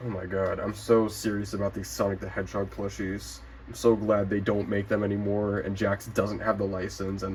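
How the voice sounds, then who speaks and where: Vocal fry runs through this man's speech. His pitch is fairly low. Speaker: toy collector YouTuber. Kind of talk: casual review vlog. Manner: slurred speech; animated.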